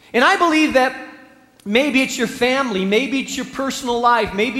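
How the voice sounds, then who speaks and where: A man with lively intonation, amid noticeable background noise and audible room echo. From Spain. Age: 40s. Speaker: pastor. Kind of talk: sermon.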